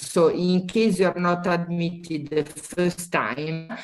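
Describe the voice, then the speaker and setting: A woman with an Italian accent talks in a fairly low voice. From Italy. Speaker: university admissions representative. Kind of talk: webinar presentation. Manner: halting, many fillers.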